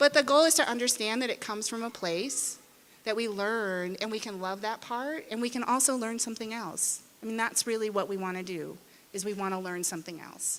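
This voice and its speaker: A woman with an American accent, a plain, everyday voice, fairly high pitch, ordinary pitch variation and a fairly quick pace. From Arizona, US. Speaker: parenting educator and author. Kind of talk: conference talk. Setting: indoor conference room with audience. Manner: conversational, engaging audience.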